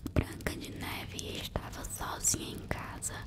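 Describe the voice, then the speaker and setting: Whispering in a calm tone at a very slow pace, the speaker is heard over noticeable background noise. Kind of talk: whispered ASMR bedtime story narration. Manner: whispered, soft, calm.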